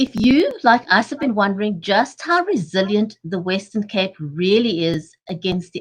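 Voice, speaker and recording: This woman has a medium pitch and a somewhat breathy voice. She talks at a moderate pace with lively intonation. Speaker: talk show host. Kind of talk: live online talk show.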